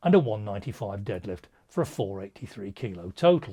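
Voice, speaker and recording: In a very clean recording with a silent background, a somewhat breathy man with an English accent speaks at a moderate pace, his pitch swinging very widely. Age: 60s. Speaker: powerlifting coach. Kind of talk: vlog monologue.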